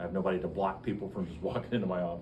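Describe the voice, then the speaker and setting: A man speaks very fast in a very deep, low voice. Noticeable background noise and audible room echo are present. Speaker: biology professor. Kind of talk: lecture. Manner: loud; animated.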